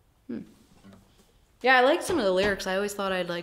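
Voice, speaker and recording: A woman speaks with an American accent and ordinary pitch variation. Noticeable background noise sits behind her. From New York. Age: 20s. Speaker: singer-songwriter. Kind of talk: casual chat.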